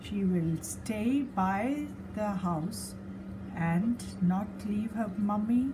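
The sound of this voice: The voice is an unforced reading voice. The text is being read.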